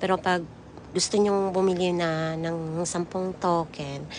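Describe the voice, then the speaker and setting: A woman is speaking. Her pace is fairly slow. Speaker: vlogger. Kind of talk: voice-over vlog narration. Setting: voice-over recorded later. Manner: casual, chatty.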